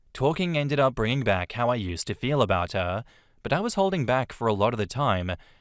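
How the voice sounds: A man's medium-pitched voice at a moderate pace with lively intonation, on a very clean recording with a silent background.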